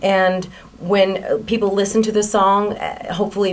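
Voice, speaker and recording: A woman speaks at a moderate pace in an American accent, with noticeable background noise behind her. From South Florida. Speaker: country singer. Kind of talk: interview. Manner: casual, with fillers.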